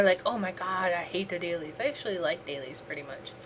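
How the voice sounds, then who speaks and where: Noticeable background noise sits behind the recording. Over it, a woman talks very fast. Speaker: gaming livestreamer. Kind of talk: casual gameplay livestream chat. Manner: subdued, calm, lowered voice; halting, many repetitions and fillers.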